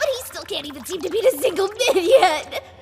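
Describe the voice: A woman does a cartoonish character voice at an extremely high pitch with vocal fry, lively intonation and a fairly quick pace, while faint music plays in the background.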